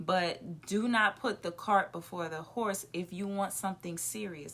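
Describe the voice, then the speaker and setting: A woman's animated, medium-pitched voice at a fairly slow pace. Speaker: podcast co-host. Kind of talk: casual chat. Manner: loud when comfortable.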